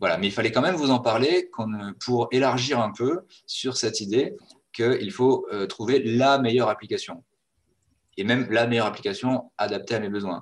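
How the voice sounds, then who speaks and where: A man's medium-pitched voice at a moderate pace, with ordinary pitch variation and long, frequent pauses. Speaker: webinar presenter. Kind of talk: webinar presentation. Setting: video call.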